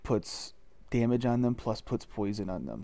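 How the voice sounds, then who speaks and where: A quiet man at a moderate pace. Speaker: gaming youtuber. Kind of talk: gameplay commentary. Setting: at home recording, others asleep nearby.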